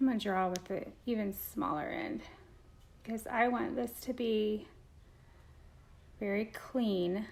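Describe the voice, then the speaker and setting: Quiet and fairly high-pitched, a woman with an American accent speaks at a fairly slow pace with long, frequent pauses. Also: ordinary pitch variation. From Indiana, US Midwest. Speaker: beauty vlogger. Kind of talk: makeup tutorial. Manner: quiet, concentrating.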